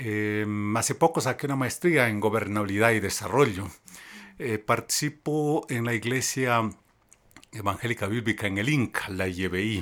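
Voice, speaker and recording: At a moderate pace, an unremarkable speaking voice carries ordinary pitch variation. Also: man, medium pitch for a man. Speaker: journalist. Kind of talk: interview on faith and politics. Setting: recorded in Quito.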